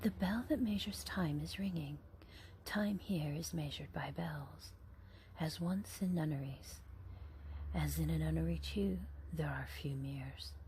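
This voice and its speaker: A whisper, fairly slow, with long, frequent pauses. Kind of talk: ASMR book reading. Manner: whispered.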